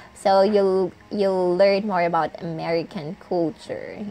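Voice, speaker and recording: With music in the background, a woman in a slight Visayan accent speaks at a fairly low pitch and fairly slow pace, with ordinary pitch variation. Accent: Bisaya Filipino accent, mild. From Philippines, Visayas. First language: Bisaya (Cebuano). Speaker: vlogger, call center agent. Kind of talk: casual vlog talk. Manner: hesitant, with fillers.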